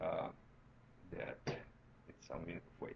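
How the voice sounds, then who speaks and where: This is a man speaking. He has a Romanian accent. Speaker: university lecturer. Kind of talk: tutorial. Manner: halting.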